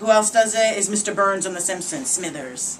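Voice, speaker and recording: A woman with a Boston accent at a medium pitch and a fairly quick pace, amid noticeable background noise. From Boston area, New England. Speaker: body language expert and speaker. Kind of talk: promotional talk and tips to camera. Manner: animated.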